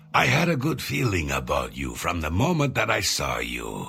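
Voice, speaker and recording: The voice is a put-on character voice. It belongs to a man. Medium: video game. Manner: polite, measured.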